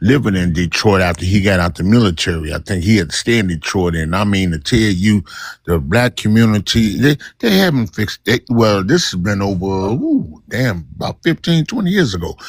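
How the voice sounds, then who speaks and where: Fairly quick and lively in intonation, a man speaks with a fairly low pitch. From Illinois. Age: 60s. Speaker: caller. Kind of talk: heated live-stream debate. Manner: animated; halting.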